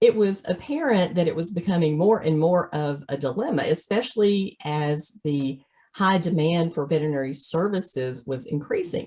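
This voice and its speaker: A woman's fairly low voice with a Southern US accent, lively intonation, a moderate pace and hardly any pauses. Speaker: veterinary practice consultant. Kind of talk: webinar presentation.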